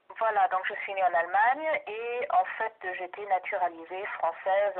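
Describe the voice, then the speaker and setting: A woman with a German accent talks at a medium pitch with lively intonation. There is noticeable noise in the background. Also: big swings in loudness. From Germany. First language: German (speaking French). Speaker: doctoral researcher and language teacher. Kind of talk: research interview. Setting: phone call. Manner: hesitant, many fillers.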